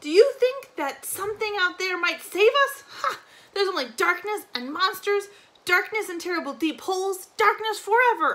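Loud and in a put-on character voice, a man speaks at a moderate pace with an extremely high pitch, a bright, sharp tone, lively intonation, and few pauses.

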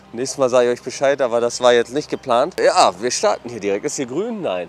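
Faint music plays behind a man who speaks at a fairly quick pace, the sound dry with no echo. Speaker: food vlogger. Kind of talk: casual vlog chat. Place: street. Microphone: lapel.

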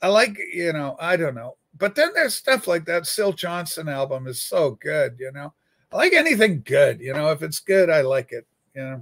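At a moderate pace, a man speaks with big swings in loudness over a quiet background. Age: 60s. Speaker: livestream host and record collector; livestream host. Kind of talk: casual livestream chat. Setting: home studio livestream with webcam and USB microphone. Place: home room. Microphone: webcam.

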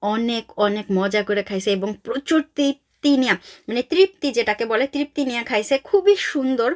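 A woman's fairly high-pitched voice with lively intonation, dry and close with no echo. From Bangladesh. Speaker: vlogger. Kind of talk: casual vlog narration.

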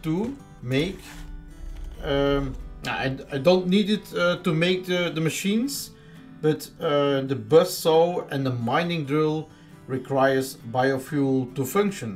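Over background music, the speaker talks very slowly with a non-native accent, lively intonation, and long, frequent pauses. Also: man. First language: Dutch. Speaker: gamer. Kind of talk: casual gameplay commentary.

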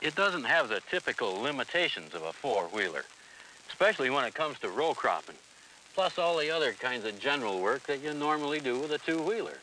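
Over light background noise, a man talks at a fairly quick pace with lively intonation and a dry sound with no echo. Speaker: equipment salesman in promo film. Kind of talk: scripted sales dialogue. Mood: enthusiastic, folksy. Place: farm machine.

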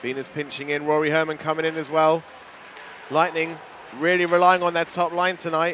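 Fairly high-pitched man at a fairly quick pace with long, frequent pauses over noticeable background noise. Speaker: ice hockey commentator. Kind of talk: live-style play-by-play ice hockey commentary over match highlights. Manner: animated with frequent verbal stumbles and repeated words.

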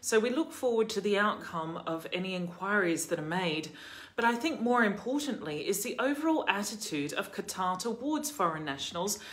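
The woman's pitch swings very widely while she keeps a moderate pace. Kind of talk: commentary. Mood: serious, concerned. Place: home room. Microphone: phone near.

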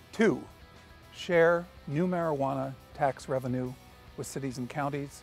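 Faint music plays behind a man who speaks at a moderate pace with ordinary pitch variation, the sound dry with no echo. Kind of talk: policy update to camera. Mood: earnest, measured. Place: street. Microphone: lapel.

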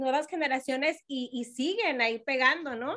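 A woman's raised, projected voice with high pitch, a bright, sharp tone and ordinary pitch variation. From Mexico, Jalisco. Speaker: radio host. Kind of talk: casual chat. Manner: animated.

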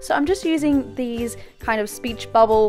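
Over music in the background, a woman with a fairly high pitch talks in an upbeat tone with lively intonation. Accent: English. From Britain. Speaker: beauty and lifestyle YouTuber. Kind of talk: DIY tutorial voiceover.

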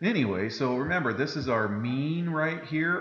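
Over light background noise and audible room echo, a man talks with ordinary pitch variation. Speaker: math teacher. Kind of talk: lecture. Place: classroom.

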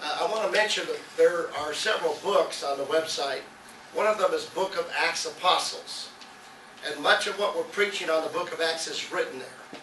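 A man's high-pitched voice at a moderate pace, with light background noise and audible room echo. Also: ordinary pitch variation. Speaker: pastor. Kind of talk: sermon. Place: church.

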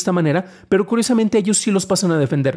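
A man with a Mexican accent at a very fast pace, against a quiet background. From Mexico. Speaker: tech news podcast host; tech news host. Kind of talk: news reading and commentary. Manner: stammering at times; conversational, with fillers. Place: home room. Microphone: studio mic.

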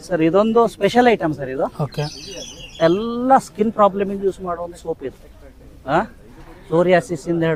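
Over noticeable background noise, a man speaks in a high pitch with lively intonation and big swings in loudness. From India, Puttur, Dakshina Kannada. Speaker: farmer and inventor selling his product. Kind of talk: sales pitch and product demonstration.

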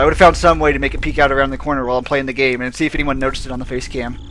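Over light background noise, a man talks at a very fast pace. His intonation is monotone and flat. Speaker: gamer streamer. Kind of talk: gameplay commentary. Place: home room.

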